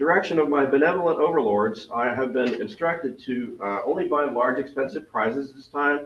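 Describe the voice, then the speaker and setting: Over noticeable background noise, a man with a fairly high pitch talks at a fairly quick pace, his loudness swinging widely. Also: ordinary pitch variation, hardly any pauses. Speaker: astronomy club member running star party events. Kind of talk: club meeting announcements. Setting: video call.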